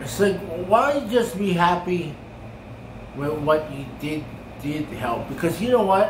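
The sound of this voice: Slow, lively intonation with audible room echo. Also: man, high pitch for a man.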